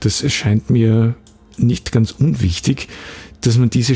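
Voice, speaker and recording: While music plays behind him, a man talks at a very slow pace. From Austria, Graz. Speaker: podcast host, copywriter and trainer. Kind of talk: solo podcast monologue. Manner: untrained, occasional hesitations.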